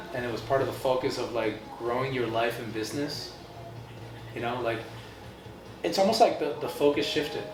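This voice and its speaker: A man speaks fairly quickly at a medium pitch with a slight Argentine accent and ordinary pitch variation, leaving long, frequent pauses amid noticeable background noise and audible room echo. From Argentina. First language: Spanish. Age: 30s. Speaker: artist. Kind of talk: casual chat.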